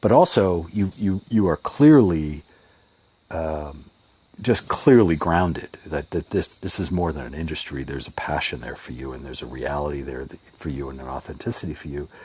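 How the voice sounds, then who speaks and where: A man's dark, mellow voice at a moderate pace, with lively intonation. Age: 50s. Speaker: audience member asking a question. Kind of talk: question in an online audio room. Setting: online audio chat room. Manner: halting.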